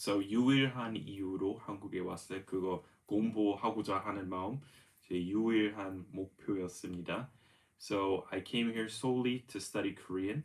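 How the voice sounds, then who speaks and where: It is a normal speaking voice with fairly even intonation. The speed is moderate. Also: man. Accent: American. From US, Denver Colorado. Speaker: English teacher. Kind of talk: live-streamed language lesson. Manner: code-switching English and Korean.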